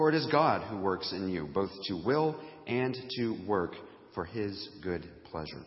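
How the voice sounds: A raspy man's voice with lively intonation, a fairly slow pace and audible room echo.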